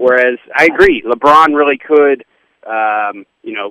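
A man with a normal speaking voice talks at a medium pitch. His pace is moderate and his intonation fairly even. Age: 30s. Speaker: sports radio host. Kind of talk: radio interview. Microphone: line broke up.

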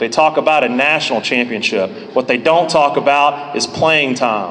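A man with a rather high voice speaks at an even tempo and normal pitch movement while audible noise fills the background. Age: 30s. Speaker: college baseball head coach. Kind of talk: speech at a banquet.

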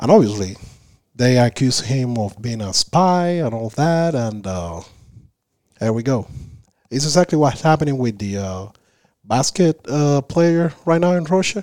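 A man's medium-pitched voice with a Spanish accent, dark and mellow in tone, at a moderate pace with very wide pitch swings and long, frequent pauses. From Cuba, Havana. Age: 30s. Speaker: Cuban immigrant guest. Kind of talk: casual interview. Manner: halting.

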